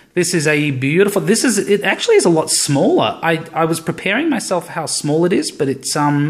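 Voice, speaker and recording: A man with an Australian accent, high-pitched with ordinary pitch variation, at a fairly quick pace with hardly any pauses. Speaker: tech hobbyist YouTuber. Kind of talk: unboxing video. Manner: casual, hesitant with fillers.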